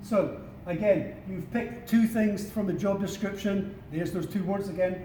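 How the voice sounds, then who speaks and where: A man with a Scottish accent and a high pitch talks at a moderate pace. Noticeable background noise and audible room echo surround him. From Scotland. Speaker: career advisor. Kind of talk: workshop presentation. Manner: informal with many fillers.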